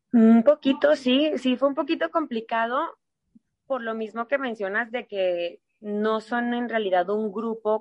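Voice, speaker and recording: A woman with a plain, everyday voice talks fairly slowly at a fairly high pitch. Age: 30s. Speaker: dance studio director and choreographer. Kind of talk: interview conversation.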